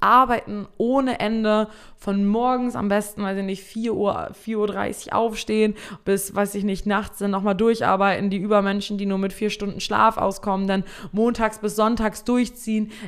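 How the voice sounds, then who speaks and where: A woman at a medium pitch and moderate pace, fairly even intonation, noticeable background noise. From Germany, East Frisia (Emden). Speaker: podcast host, social selling coach. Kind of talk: solo podcast monologue. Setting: home studio at computer.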